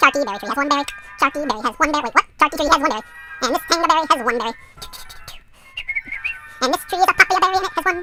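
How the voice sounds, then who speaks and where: At a very fast pace, a put-on character voice pitched high runs over faint music in the background. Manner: silly, nonsensical.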